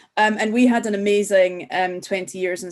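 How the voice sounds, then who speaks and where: A woman speaks in a Scottish accent at a medium pitch. Her pace is moderate and her intonation fairly even. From Scotland. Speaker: school parent. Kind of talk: webinar talk.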